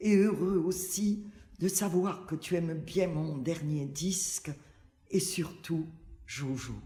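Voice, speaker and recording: Very slowly, a woman speaks in a somewhat breathy, dark, mellow tone at a fairly low pitch. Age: 80s+. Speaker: singer. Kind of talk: reading a letter aloud.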